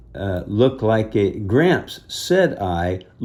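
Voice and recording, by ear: The text is read aloud in a natural voice.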